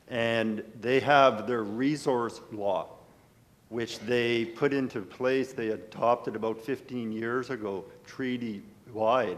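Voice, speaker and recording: A man speaks at a very slow pace in a medium pitch. His intonation stays fairly even, and room echo is audible. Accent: Canadian. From rural Manitoba, Canada. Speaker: lawyer asking a question from the audience. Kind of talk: audience question at a conference panel. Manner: halting, with self-corrections.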